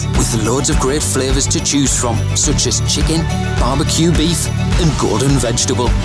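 With loud music in the background, a man talks at a moderate pace in a dry sound with no echo. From North East England. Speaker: voice actor. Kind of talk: TV commercial read. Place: studio.

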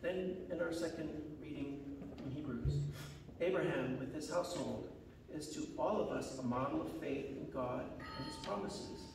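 A man talks at a moderate pace with ordinary pitch variation and long, frequent pauses. Noticeable background noise and audible room echo are present. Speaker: church minister. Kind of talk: liturgical introduction read aloud. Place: church.

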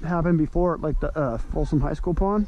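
A man's voice with ordinary pitch variation, a dry sound with no echo, and noticeable background noise. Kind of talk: casual vlog chat. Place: waterside. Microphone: phone near.

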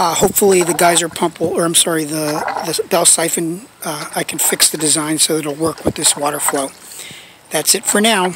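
The voice moves at a moderate pace in a dry sound with no echo, over noticeable background noise. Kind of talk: casual project update narration. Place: garden. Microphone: phone near.

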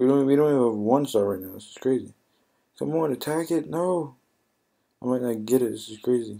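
At a fairly quick pace, a man with a medium pitch and a dark, mellow, sad tone speaks with ordinary pitch variation, long, frequent pauses and big swings in loudness. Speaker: mobile game YouTuber. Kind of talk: gameplay commentary. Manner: subdued, sad-sounding; halting, many fillers.

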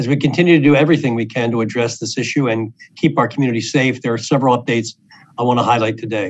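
Speaking at a very fast pace, a man keeps his intonation fairly even. All is quiet behind him. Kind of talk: prepared press briefing remarks. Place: office. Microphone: video call.

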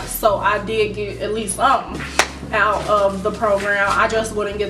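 With music in the background, a woman speaks at a moderate pace and a fairly even intonation. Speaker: vlogger. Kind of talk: casual vlog chat. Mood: reflective, slightly frustrated. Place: home room. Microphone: camera far.

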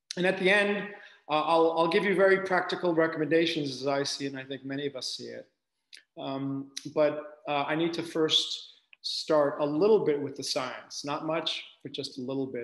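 Big swings in loudness mark this man's speech, delivered at a moderate pace with ordinary pitch variation and audible room echo. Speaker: medical researcher giving lecture. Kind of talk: lecture. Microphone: webcam.

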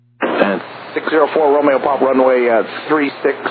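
A man at medium pitch with ordinary pitch variation, a moderate pace and audible room echo

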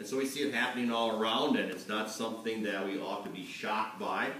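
Light background noise sits under audible room echo. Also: man. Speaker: pastor. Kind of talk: sermon. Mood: earnest, serious. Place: church.

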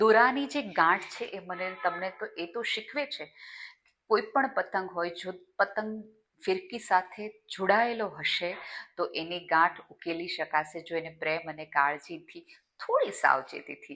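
A woman's medium-pitched voice, bright and sharp in tone, with lively intonation and big swings in loudness. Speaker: motivational speaker. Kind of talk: motivational festival speech.

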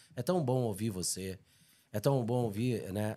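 The man's tone is dark and mellow, and his pitch varies in an ordinary way. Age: old. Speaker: podcast host. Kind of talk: casual chat. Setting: studio, live stream. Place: studio. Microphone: studio mic.

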